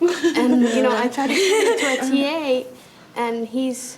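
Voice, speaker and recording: A woman with a high pitch speaks in a Spanish accent over noticeable background noise. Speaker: student. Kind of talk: testimony.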